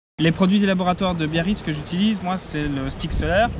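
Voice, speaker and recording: With noticeable background noise behind it, the voice keeps a moderate pace and ordinary pitch variation. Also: man. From Belgium, south of Brussels. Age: 30s. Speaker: sailor. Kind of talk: testimonial interview. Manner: hesitant, many fillers.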